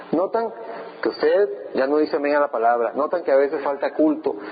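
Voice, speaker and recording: Noticeable background noise sits behind a man who speaks at a moderate pace with lively intonation. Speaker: pastor. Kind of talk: sermon.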